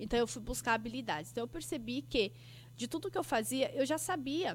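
On a very clean recording with a silent background, a woman speaks with vocal fry and lively intonation. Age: 30s. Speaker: podcast host and business mentor. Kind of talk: solo podcast monologue. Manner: animated.

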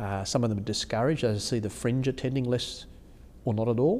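With an Australian accent, a man talks fairly quickly at a medium pitch. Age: 50s. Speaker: bishop. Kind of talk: interview conversation.

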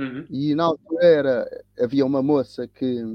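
A man speaks with fairly even intonation. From Cape Verde (São Vicente), raised in Lisbon area, Portugal. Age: 60s. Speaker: tennis coach and teacher, anti-racism activist. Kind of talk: interview conversation. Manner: halting, with repetitions.

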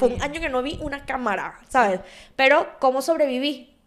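In a very clean recording with a silent background, a woman with a Venezuelan accent speaks in an animated tone at a high pitch with ordinary pitch variation. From Venezuela, Valencia (Carabobo). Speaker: podcast host. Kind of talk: casual chat.

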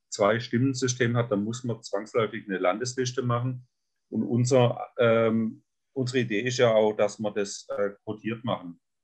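A man's fairly slow delivery comes with monotone, flat intonation. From southern Baden, Germany. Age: 60s. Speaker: state politician. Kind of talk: podcast interview. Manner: halting, with many fillers.

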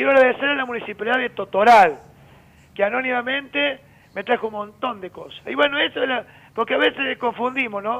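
At a moderate pace, a man talks in an extremely high voice with ordinary pitch variation. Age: 50s. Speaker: rodeo festival announcer. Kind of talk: phone interview. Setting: phone call.

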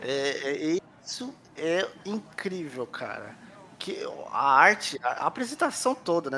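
His pitch swings very widely around a fairly high register as the man talks. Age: 30s. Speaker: podcast co-host. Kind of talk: casual chat.

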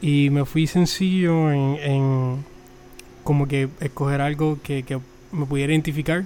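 With a Puerto Rican accent, a man speaks at a very slow pace. His pitch is fairly high and his intonation monotone and flat. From Puerto Rico. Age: 20s. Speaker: podcast host, mechanical engineer. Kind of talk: solo religious podcast talk. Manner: halting, many fillers and repetitions.

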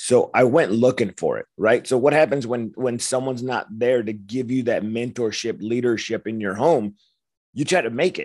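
Against a quiet background, a man with an American accent and a plain, everyday voice talks at a moderate pace and medium pitch with ordinary pitch variation. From Los Angeles. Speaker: war veteran. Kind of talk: testimony.

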